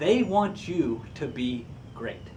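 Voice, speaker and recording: An animated voice with very wide pitch swings carries audible room echo. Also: man. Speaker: career coach. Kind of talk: tutorial.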